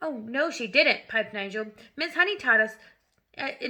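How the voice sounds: In a natural reading voice, the speaker uses lively intonation against a quiet background.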